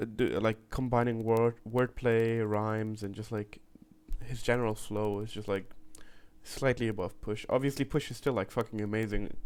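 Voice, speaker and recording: A man with a German accent, a medium pitch, monotone, flat intonation and a moderate pace. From Germany. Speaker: music reaction youtuber. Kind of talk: casual reaction commentary.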